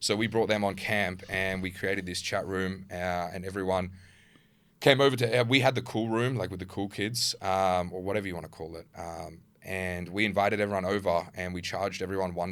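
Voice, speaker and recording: With an Australian accent, a man speaks in a very deep, low voice with fairly even intonation. His loudness swings widely. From Perth, Australia (partly Germany). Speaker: social media creator. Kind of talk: casual chat.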